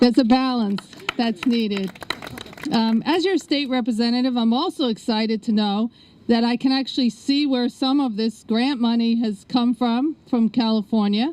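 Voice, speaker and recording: A strong New York accent over noticeable background noise. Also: woman. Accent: New York accent, still strong. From New York City (South Bronx, Queens). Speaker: state politician. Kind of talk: ceremony speech.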